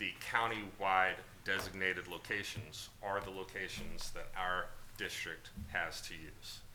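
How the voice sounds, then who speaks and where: Very deep, low-pitched man at a fairly slow pace in a monotone, flat intonation, with audible room echo and music in the background. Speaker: district attorney advising the board. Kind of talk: board meeting briefing. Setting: board meeting room.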